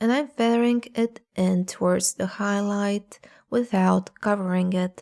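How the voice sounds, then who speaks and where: Over a very clean recording with a silent background and a dry, close sound with no echo, a woman speaks with a non-native accent at medium pitch. Her tone is dark and mellow, her pace fairly slow and her intonation fairly even. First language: not English. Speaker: art tutorial youtuber. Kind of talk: tutorial.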